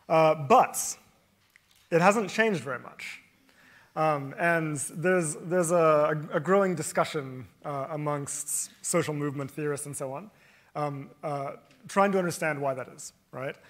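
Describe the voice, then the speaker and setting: A man with a fairly high pitch talks in a normal speaking voice at a fairly slow pace with ordinary pitch variation, on a very clean recording with a silent background. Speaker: professor, panel moderator. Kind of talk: panel moderation. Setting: stage with audience.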